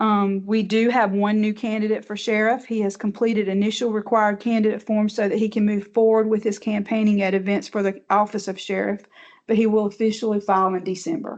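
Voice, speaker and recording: A woman with a Southern US accent speaks at a medium pitch and a fairly quick pace in monotone, flat intonation, with hardly any pauses. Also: quiet background. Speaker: elections director. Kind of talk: board meeting report. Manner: fast.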